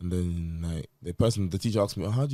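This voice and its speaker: In a London accent, a man with a very deep, low pitch and a dark, mellow tone talks at a fairly quick pace with ordinary pitch variation, recorded very cleanly against a silent background. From London, UK. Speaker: teacher, podcast co-host. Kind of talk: casual chat. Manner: energetic.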